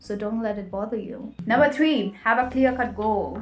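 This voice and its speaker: A woman's fairly high voice in a Nepali accent, with ordinary pitch variation and audible room echo. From Nepali community in India. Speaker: English learning vlogger. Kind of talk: tutorial.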